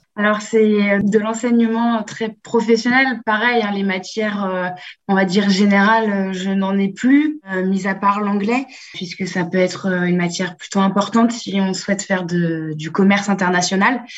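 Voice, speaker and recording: A woman speaks at medium pitch with fairly even intonation. Her voice is somewhat breathy and her pace fairly slow. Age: 20s. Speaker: business master's student, apprentice. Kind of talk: remote interview. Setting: remote call.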